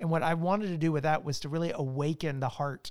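In a very clean recording with a silent background, a man with an American accent and an ordinary speaking voice talks fairly quickly at a fairly high pitch. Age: 40s. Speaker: author and church resources leader. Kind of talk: casual chat.

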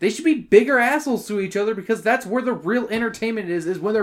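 Speaking at a very fast pace, a man uses a high pitch with ordinary pitch variation and an animated tone. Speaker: podcast host. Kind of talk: casual chat.

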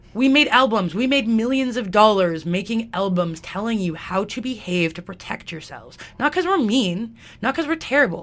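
A woman with a Western Canadian accent, fairly high-pitched, at a fairly quick pace with lively intonation. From Alberta, Canada. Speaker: radio station volunteer coordinator. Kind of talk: interview. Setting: studio.

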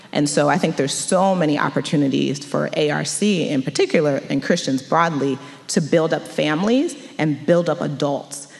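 A woman with a Mid-Atlantic accent speaks at a moderate pace in a very deep, low voice, her loudness very even and her pitch varying in an ordinary way, over noticeable background noise. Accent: general American, Mid-Atlantic. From Montgomery County, Maryland. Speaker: education attorney. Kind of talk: panel discussion and closing prayer.

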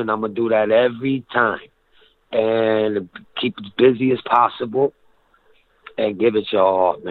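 A man speaks in an ordinary speaking voice. His pace is moderate, with ordinary pitch variation. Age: 30s. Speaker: rapper. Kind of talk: interview.

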